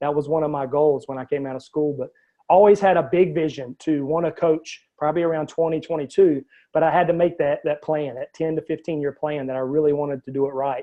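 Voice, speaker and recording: Talking at a very fast pace, a man with a Southern US accent keeps a fairly high pitch and fairly even intonation. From US South. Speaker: life coach. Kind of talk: interview. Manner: hesitant with many fillers.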